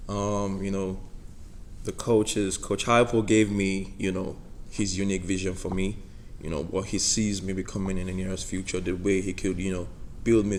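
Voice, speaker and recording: A man's very deep, low voice with a Nigerian accent, monotone and flat, at a moderate pace amid audible room echo. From Nigeria, Lagos. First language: Igbo. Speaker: college football player. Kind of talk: press conference interview.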